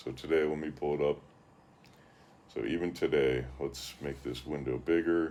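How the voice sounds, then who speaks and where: A man speaks at a moderate pace with long, frequent pauses, his very deep, low voice dark and mellow with vocal fry. His intonation stays fairly even. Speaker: YouTuber commentator. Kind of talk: commentary vlog with screen share. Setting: screen-share recording. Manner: monotone.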